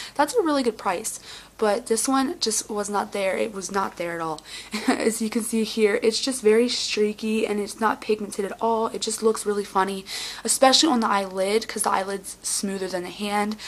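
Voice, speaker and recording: A woman speaks at a moderate pace with a fairly high pitch. Noticeable background noise runs behind her. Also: ordinary pitch variation. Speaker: beauty vlogger. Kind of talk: casual talk to camera.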